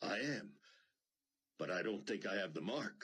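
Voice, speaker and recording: A man's put-on character voice, raspy and fairly low, at a moderate pace with very even loudness. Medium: read story.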